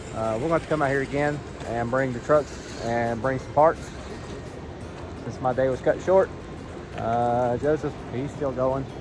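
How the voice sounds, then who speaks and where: An Appalachian accent at a fairly slow pace, with music in the background. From West Virginia, US. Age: 40s. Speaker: RC hobbyist vlogger. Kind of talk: casual outdoor vlog chat. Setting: outdoors on hiking trails.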